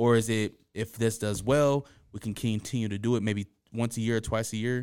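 In a very clean recording with a silent background, a man talks fairly quickly in a plain, everyday voice, his pitch medium and his intonation fairly even. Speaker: podcast host. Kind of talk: casual podcast interview.

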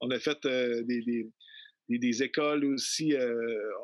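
A man's voice is heard dry and close, with no echo. The recording is very clean, with a silent background. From Quebec City, Quebec. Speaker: traditional musician. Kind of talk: interview. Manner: halting.

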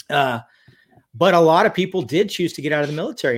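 Here a man with an American accent has a fairly high pitch and ordinary pitch variation. His is an ordinary speaking voice, captured in a very clean recording with a silent background. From California. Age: 50s. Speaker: physician and special forces veteran. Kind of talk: casual chat.

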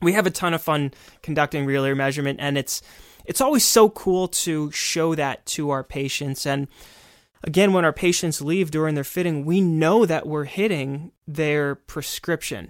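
On a very clean, dry and close recording with no echo and a silent background, a man talks at a moderate pace in an ordinary speaking voice, his fairly high pitch showing ordinary variation. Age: 20s. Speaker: podcast co-host, hearing care provider. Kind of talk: educational podcast discussion.

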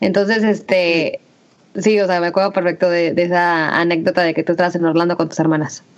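In a plain, everyday voice, a woman speaks at a fairly quick pace, fairly low in pitch with fairly even intonation. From Mexico, Aguascalientes. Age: 30s. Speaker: podcast co-host, entrepreneur. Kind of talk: casual chat.

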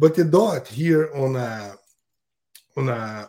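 Lively intonation in a man's dark, mellow, somewhat breathy voice. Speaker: custom fishing lure maker. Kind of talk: podcast interview. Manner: halting.

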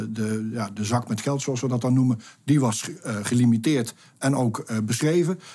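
The man's tone is dark and mellow, and he speaks at a moderate pace. The recording is very clean with a silent background. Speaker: project director. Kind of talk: interview. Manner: hesitant, many fillers.

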